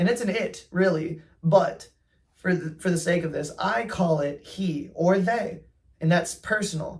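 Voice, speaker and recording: Speaking at a moderate pace, a man uses a high pitch and an animated tone. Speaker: fashion vlogger. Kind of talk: casual monologue.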